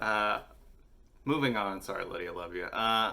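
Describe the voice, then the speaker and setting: A man talks at a fairly slow pace with a fairly low pitch and ordinary pitch variation. Audible room echo surrounds his voice. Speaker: musician vlogger. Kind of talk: casual vlog talk. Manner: animated.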